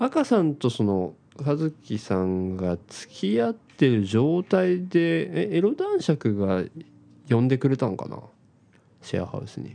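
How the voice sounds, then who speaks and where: The tone is dark and mellow, with very wide pitch swings and big swings in loudness. The pace is fairly slow. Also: man, medium pitch for a man. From Hiroshima, Japan. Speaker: podcast co-host. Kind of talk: casual chat.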